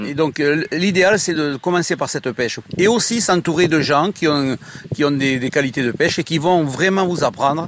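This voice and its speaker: A man speaks at a fairly high pitch with ordinary pitch variation. Noticeable background noise runs behind him. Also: moderate pace. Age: 60s. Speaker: choir director and angler. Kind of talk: radio interview. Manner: hesitant, many fillers.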